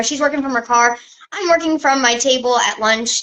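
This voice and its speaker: Over noticeable background noise, a woman talks very fast in an animated tone with ordinary pitch variation. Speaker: travel business owner doing an Instagram live. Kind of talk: casual live stream chat. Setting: social media live video.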